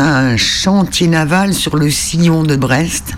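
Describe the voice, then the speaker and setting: A man speaking very slowly with ordinary pitch variation, amid noticeable background noise and audible room echo. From Île de Sein, Brittany. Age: 70s. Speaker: islander recounting local fishing history. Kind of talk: interview.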